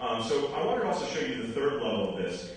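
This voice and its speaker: Under strong room echo and light background noise, the voice moves at a very fast pace. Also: man. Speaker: presenter. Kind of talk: conference presentation. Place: hall.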